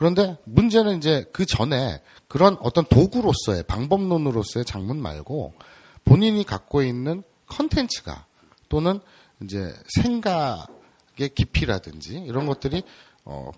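A man's fairly high-pitched, fairly slow delivery with very wide pitch swings and big swings in loudness, dry and close with no echo, in a very clean recording with a silent background. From Seoul, South Korea. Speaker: podcast interviewer. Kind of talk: interview.

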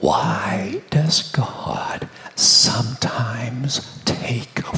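The speech is whispered, very slowly. Background noise is noticeable throughout. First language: English (speaking Portuguese). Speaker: guest preacher and author. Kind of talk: sermon. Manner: soft-spoken.

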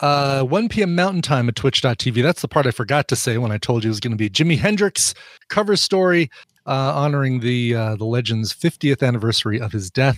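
A man with a normal speaking voice and lively intonation talks at a moderate pace, in a dry, close sound with no echo on a very clean recording with a silent background. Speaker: co-host. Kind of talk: casual comedic chat.

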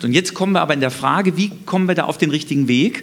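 A man talks with lively intonation. Noticeable background noise can be heard. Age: 50s. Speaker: mayoral candidate, economist. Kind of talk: panel debate. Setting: stage with live stream.

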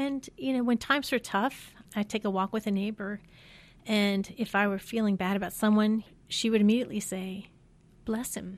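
A woman with an American accent and an unremarkable speaking voice, at a moderate pace with fairly even intonation, on a very clean recording with a silent background. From US Midwest (Ohio, Pennsylvania, Michigan). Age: 50s. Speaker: alumna, mother of four. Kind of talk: interview, personal faith story. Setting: studio.

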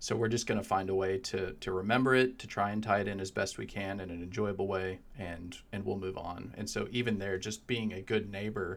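The pace here is fairly quick. It is a normal speaking voice. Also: man. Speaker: professor and co-host. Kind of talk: casual chat.

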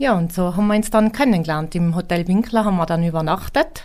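This woman has an unremarkable speaking voice, pitched fairly low and moving at a fairly quick pace. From Tyrol, Austria (near Imst). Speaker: mountain hut innkeeper. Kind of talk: interview.

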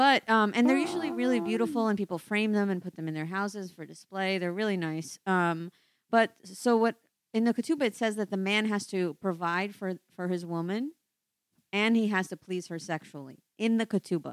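A normal speaking voice from a woman, medium in pitch, with lively intonation at a fairly quick pace, and a dry, close sound with no echo. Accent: American. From US, Brooklyn, New York City. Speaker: comedian. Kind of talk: casual chat.

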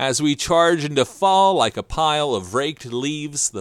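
With an American accent and a plain, everyday voice, a man speaks at a fairly high pitch and a moderate pace. The very clean recording has a silent background and a dry, close sound with no echo. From southern New Jersey, Salem County. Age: 50s. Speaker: podcast host. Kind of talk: interview; scripted narration.

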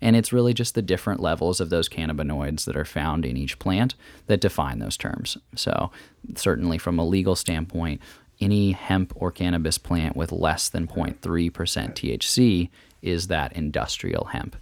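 A man speaks with vocal fry at a very deep, low pitch, lively in intonation and moderate in pace. The recording is very clean, with a silent background. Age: 20s. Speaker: CEO of a CBD company. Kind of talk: casual interview chat.

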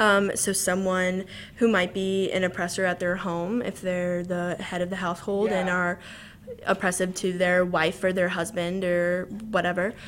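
Over noticeable background noise, a voice with an American accent holds a monotone, flat intonation. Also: woman, medium pitch for a woman, moderate pace. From Southern Illinois. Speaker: university student. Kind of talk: casual interview.

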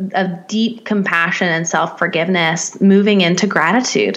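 Hardly pausing at all, a woman talks at very even loudness with noticeable background noise behind her. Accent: American. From US South, Nashville, Tennessee. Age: 30s. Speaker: life coach. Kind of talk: interview.

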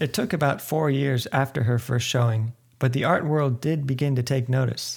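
A man talks at a moderate pace with a somewhat breathy, medium-pitched voice. His intonation is fairly even and his loudness very even. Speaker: podcast host and narrator. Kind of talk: scripted narration with interview clips.

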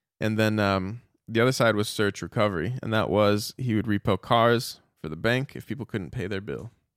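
Recorded very cleanly against a silent background, with a dry, close sound and no echo, a man with an unremarkable speaking voice talks at a moderate pace in a fairly low pitch. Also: ordinary pitch variation. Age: 30s. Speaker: metal guitarist and podcast host. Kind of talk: solo podcast monologue. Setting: small home studio.

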